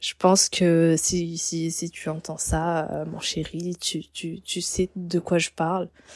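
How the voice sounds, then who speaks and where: A woman's fairly low, dark, mellow voice in a dry, close sound with no echo. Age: 20s. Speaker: hotel receptionist. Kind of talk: personal storytelling. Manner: hesitant, with repeated words.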